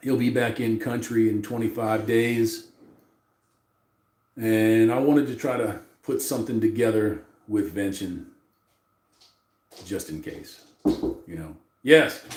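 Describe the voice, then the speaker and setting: A man with a medium pitch speaks at a fairly slow pace with long, frequent pauses, ordinary pitch variation and big swings in loudness, in a room with audible echo. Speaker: livestream host. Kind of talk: casual livestream chat.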